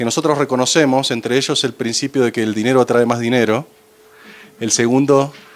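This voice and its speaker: The speaker has an Argentine accent and a fairly quick pace. The intonation stays flat and monotone. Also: man. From Argentina. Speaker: finance executive. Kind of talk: presentation to audience. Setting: panel talk with audience. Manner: hesitant, many fillers.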